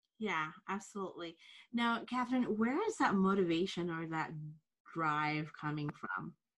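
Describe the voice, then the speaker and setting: A woman's plain, everyday voice at medium pitch, moderate in pace, with lively intonation. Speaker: podcast host. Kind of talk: interview. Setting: video call.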